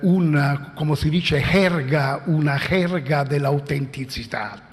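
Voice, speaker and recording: Speaking very slowly in an Italian accent, a man uses a fairly high pitch with ordinary pitch variation, with audible room echo and noticeable background noise. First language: Italian (speaking Spanish). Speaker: philosopher. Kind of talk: conference talk. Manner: halting.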